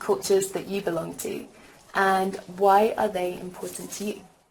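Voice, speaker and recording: Audible room echo and noticeable background noise around a moderate pace. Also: woman. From England, Birmingham. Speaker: teacher. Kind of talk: lecture.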